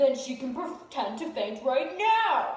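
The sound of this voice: Using a put-on character voice, a woman speaks slowly at a high pitch with big pitch swings, in strong room echo.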